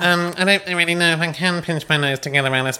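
A nasal put-on character voice races at a very fast pace with very even loudness. Light background noise sits behind it. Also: man, high pitch for a man.

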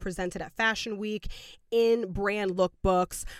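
Over a silent background in a very clean recording, a woman speaks at a moderate pace with medium pitch and ordinary pitch variation. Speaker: podcast co-host. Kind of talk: casual chat. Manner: loud.

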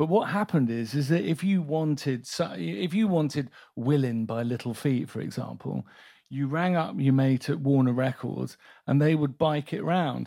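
The speaker is a man with a British accent. His recording is very clean, with a silent background. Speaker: music supervisor. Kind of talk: casual interview chat on stage. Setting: live event with audience.

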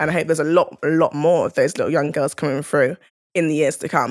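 A woman speaks in a very deep, low voice with a South London accent and fairly even intonation. The recording is very clean, with a silent background. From South London, England (Crystal Palace). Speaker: rugby player. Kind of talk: podcast interview monologue.

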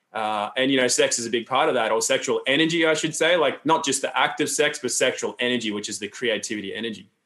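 A man with an Australian accent at a very fast pace, with hardly any pauses. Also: ordinary pitch variation. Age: 40s. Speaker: health educator and seminar founder. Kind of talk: interview conversation. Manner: calm, grounded.

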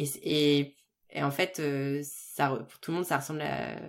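Her pitch is very deep and low, with ordinary variation. This woman is heard on a very clean recording against a silent background. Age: 30s. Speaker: restaurant business consultant. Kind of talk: casual chat.

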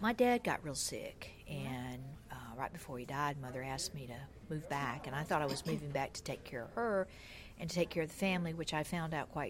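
A woman with a Southern US accent speaks at a fairly quick pace with a very deep, low pitch and lively intonation. The recording is very clean, with a silent background. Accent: Southern US (Georgia). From US South, Georgia. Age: 60s. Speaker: shop owner. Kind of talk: interview.

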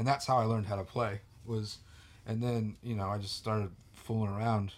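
An ordinary speaking voice from a man at medium pitch, at a fairly quick pace. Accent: American. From California, now living in Georgia. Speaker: podcast guest, guitarist.

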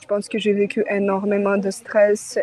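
Over noticeable background noise, a woman talks at a medium pitch in a Ukrainian accent. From Ukraine. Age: 20s. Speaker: advertising producer. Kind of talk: testimony. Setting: phone call. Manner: halting.

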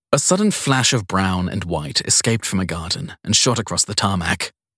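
A man speaks at a moderate pace in a bright, sharp tone with a slightly husky edge. The recording is very clean, with a silent background and a dry, close sound with no echo.

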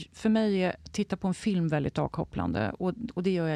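A woman's dark, mellow voice with lively intonation at a moderate pace, against a quiet background. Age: 60s. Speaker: health and wellness adviser. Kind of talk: interview conversation.

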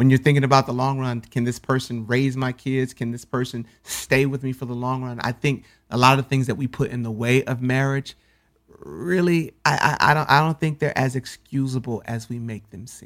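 A man with a normal speaking voice talks at a medium pitch with fairly even intonation and big swings in loudness. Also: moderate pace. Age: 30s. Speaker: spoken word poet and author. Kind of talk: casual chat.

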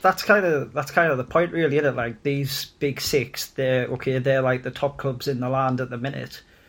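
A man talks at a moderate pace with hardly any pauses, in a plain, everyday voice. His intonation stays fairly even. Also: medium pitch for a man. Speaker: guest, football fan. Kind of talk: casual banter, football podcast.

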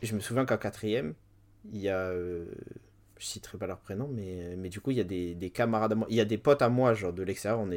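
In a very clean recording with a silent background, a man speaks at a very fast pace, his fairly low pitch showing ordinary variation. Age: 20s. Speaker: writer and poet. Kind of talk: interview. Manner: halting.

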